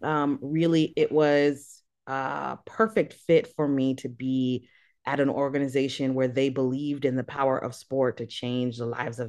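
Against a quiet background, a woman with an American accent speaks at a fairly slow pace. Her pitch is very deep and low. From US, daughter of Haitian refugee. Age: 30s. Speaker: sport for development activist and nonprofit director. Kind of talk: interview.

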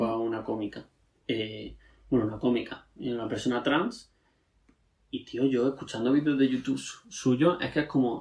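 This man has a normal speaking voice with a medium pitch. He talks at a moderate pace with ordinary pitch variation. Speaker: podcast co-host. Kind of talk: casual chat.

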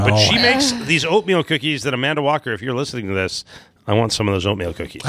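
A man with a Chicago accent talks at a very fast pace, his medium pitch carrying lively intonation. His tone is bright and sharp. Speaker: trivia podcast co-host. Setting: live recording.

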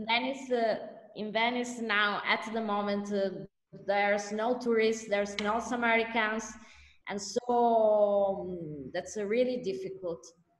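Audible room echo surrounds a woman speaking at a moderate pace with a fairly high pitch. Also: fairly even intonation. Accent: Italian. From Italy. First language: Italian. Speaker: lawyer. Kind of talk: interview. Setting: video call. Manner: halting.

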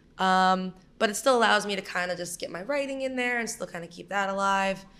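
A woman speaks with a New York accent. Her tone is bright and sharp. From Brooklyn, New York. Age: 20s. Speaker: writer. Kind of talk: casual chat.

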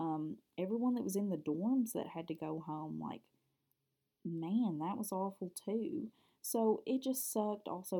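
A woman's dark, mellow tone at a moderate pace, lively in intonation, with a Kentucky accent. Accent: Southern US (Kentucky). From Kentucky, US. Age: 20s. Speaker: podcast host and college student. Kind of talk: casual solo podcast monologue. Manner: chatty, talkative, somewhat hesitant with filler words.

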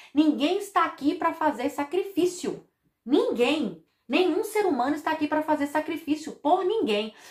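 A woman speaks in an animated tone at a high pitch. She keeps a moderate pace. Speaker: podcast host on family constellation therapy. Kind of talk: casual monologue about songs.

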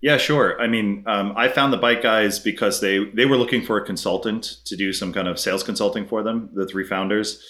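A man with an American accent talks at a fairly quick pace, using a fairly low pitch with ordinary variation and a bright, sharp tone. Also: hardly any pauses. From US Northeast, Brooklyn, New York. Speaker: tech startup CEO. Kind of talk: interview. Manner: casual.

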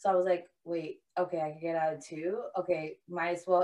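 A woman with a New York accent, animated in tone, at a moderate pace. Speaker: podcast co-host. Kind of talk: casual chat. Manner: loud.

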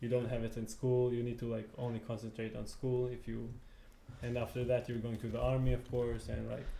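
In a room with audible echo, a man talks at medium pitch with a dark, mellow tone and a monotone, flat delivery. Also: fairly quick pace. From Israel (Tel Aviv). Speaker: beach tennis player. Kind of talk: casual chat. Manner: halting.

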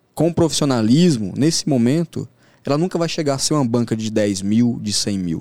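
With an ordinary speaking voice at a medium pitch, a man talks at a moderate pace with lively intonation in a very clean recording with a silent background. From Brasília outskirts, Brazil. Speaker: sports trader. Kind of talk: podcast interview.

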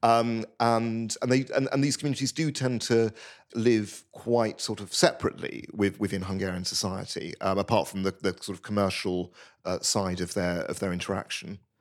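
This speaker has a British accent and ordinary pitch variation. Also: man, medium pitch for a man, moderate pace. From Britain. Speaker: journalist and former priest. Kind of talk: interview. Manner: halting.

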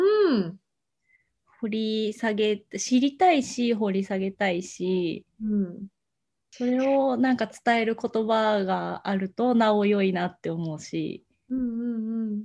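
A woman talks with ordinary pitch variation. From Japan, Ishikawa Prefecture. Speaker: podcast co-host. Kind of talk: casual chat. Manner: animated, frequent laughter.

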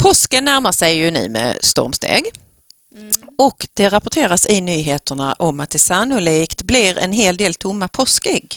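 Recorded dry and close with no echo, a woman talks at a fairly slow pace. Her medium-pitched voice swings very widely in pitch. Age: 40s. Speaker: school principal, podcast co-host. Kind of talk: casual chat. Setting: studio.

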